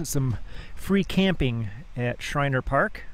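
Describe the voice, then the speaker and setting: Speaking at a very slow pace, a man is heard with faint music in the background and a dry sound with no echo. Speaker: van traveler vlogger. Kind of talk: casual vlog chat. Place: open country. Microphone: phone near.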